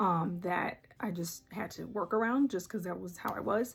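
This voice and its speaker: A woman at a medium pitch speaks with vocal fry and ordinary pitch variation. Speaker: artist and small business owner. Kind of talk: casual talk to camera. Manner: hesitant, many fillers.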